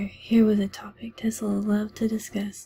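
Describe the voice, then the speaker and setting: The speaker is soft-spoken. The recording is very clean, with a silent background. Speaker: ASMR book reader. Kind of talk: ASMR book reading.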